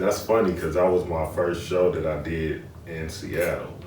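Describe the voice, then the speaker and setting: With an American accent, the speaker talks at a fairly slow pace in a monotone, flat intonation, with audible room echo. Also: man. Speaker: rapper. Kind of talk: interview.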